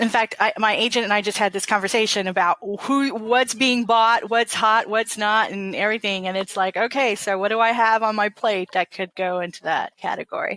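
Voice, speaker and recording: A woman with an American accent talks at a fairly quick pace with hardly any pauses, using a fairly high pitch and fairly even intonation. Her tone is bright and sharp, and the sound is dry and close with no echo. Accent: Southern, Texas twang at times. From Texas. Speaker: author. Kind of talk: interview. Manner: casual.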